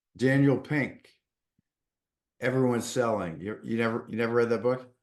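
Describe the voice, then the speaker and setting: A man speaks with a Boston accent. His pitch varies in an ordinary way. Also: medium pitch for a man, moderate pace. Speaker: podcast host. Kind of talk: casual interview chat.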